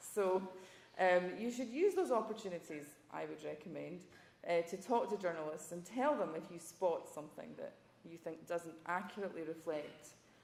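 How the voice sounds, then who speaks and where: A woman with a Scottish accent, fairly low in pitch, at a moderate pace, with ordinary pitch variation and big swings in loudness. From Scotland. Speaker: journalism professor, former foreign correspondent. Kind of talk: panel talk.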